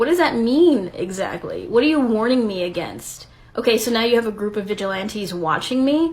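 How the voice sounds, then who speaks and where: Spoken at a moderate pace, this voice has a lively intonation. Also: woman. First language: Spanish. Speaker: video creator responding to critic. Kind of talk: response video rebuttal.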